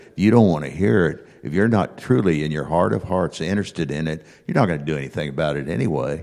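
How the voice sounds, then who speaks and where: Speaking at a very fast pace with hardly any pauses, a man uses lively intonation and vocal fry in a very deep, low pitch. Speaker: bible class participant. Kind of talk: informal, conversational scripture discussion. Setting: church classroom, speaking into a handheld microphone.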